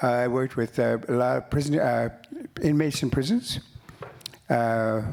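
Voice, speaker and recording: Noticeable background noise sits behind a man speaking at a moderate pace, medium in pitch, with fairly even intonation. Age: 70s. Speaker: writer and musician. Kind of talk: panel conversation. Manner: halting.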